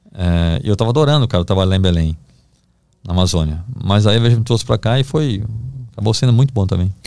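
Talking very fast at a fairly low pitch, a man has a dark, mellow tone and lively intonation. He takes long, frequent pauses, and his loudness stays very even. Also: quiet background, dry sound with no echo. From Brazil, Recife (Pernambuco); Pernambuco, Brazil. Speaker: investigative journalist; guest journalist. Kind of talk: podcast interview, storytelling. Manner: casual, halting with repetitions. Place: studio. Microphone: studio mic.

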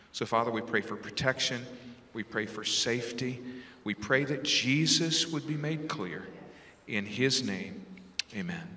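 Long, frequent pauses break up speech that is fairly slow in pace and lively in intonation. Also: man. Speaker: church deacon; pastor leading prayer. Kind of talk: spoken prayer; prayer. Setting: church. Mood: solemn, earnest. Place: church. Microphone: handheld.

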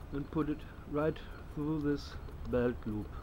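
With noticeable background noise behind him, a man speaks at a very slow pace. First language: German. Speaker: bushcraft youtuber. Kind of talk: casual outdoor gear tutorial. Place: garden.

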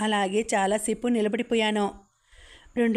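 Natural-voiced reading aloud over a quiet background

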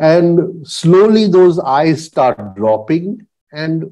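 The man's tone is dark and mellow, heard over a quiet background. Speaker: spiritual teacher. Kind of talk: lecture. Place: home room. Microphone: lapel.

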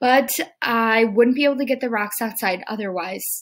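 With ordinary pitch variation, a natural reading voice comes through over a quiet background.

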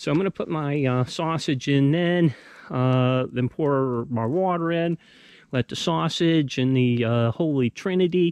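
A man speaks with ordinary pitch variation. The sound is dry with no echo, and the background is quiet. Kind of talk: casual vlog chat. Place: forest.

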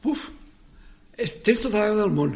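Using lively intonation, a man with a high pitch speaks at a very slow pace. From Valencia region. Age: 80s. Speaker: cooperative movement pioneer. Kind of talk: interview, personal life story. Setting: radio studio. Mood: warm, reminiscing. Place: studio.

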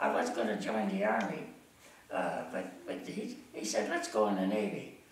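There is light background noise and audible room echo as a man speaks with an American accent. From Ohio. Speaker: war veteran. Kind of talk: interview answer. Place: home room.

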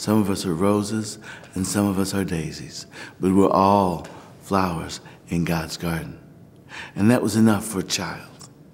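A man with an American accent at a fairly low pitch, moderate pace, ordinary pitch variation, and long, frequent pauses. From Missouri, US. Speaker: Orthodox priest. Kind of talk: documentary interview, personal story. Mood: warm, reflective, animated. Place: church.

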